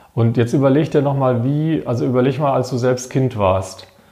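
A man's medium-pitched, ordinary speaking voice, moderately paced, with ordinary pitch variation. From Baden-Württemberg, Germany (Wiesloch). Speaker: member of parliament and professor. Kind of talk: casual interview.

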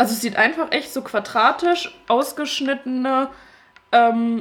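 Over noticeable background noise, a woman talks in a high pitch with ordinary pitch variation. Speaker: podcast co-host. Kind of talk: casual chat. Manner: animated, laughing often.

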